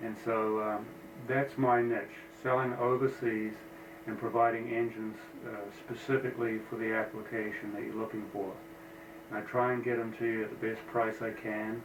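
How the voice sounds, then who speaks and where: Amid noticeable background noise and audible room echo, a man with an American accent speaks at a moderate pace and medium pitch in a monotone, flat delivery. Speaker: engine builder. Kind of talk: casual shop tour talk. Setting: office. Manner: hesitant, many fillers.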